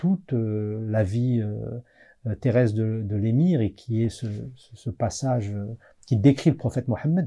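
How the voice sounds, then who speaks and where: A somewhat breathy man at a fairly slow pace, with ordinary pitch variation and a quiet background. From France, Algerian heritage. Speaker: historian and author; guest. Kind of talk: interview. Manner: hesitant, many fillers. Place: studio.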